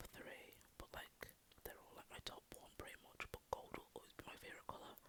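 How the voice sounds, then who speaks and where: A fairly quick whisper comes through alongside noticeable background noise. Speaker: university law student, studying Spanish and law. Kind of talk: ASMR whispered rambling talk to camera. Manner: casual, rambling, chatty, somewhat awkward; whispering.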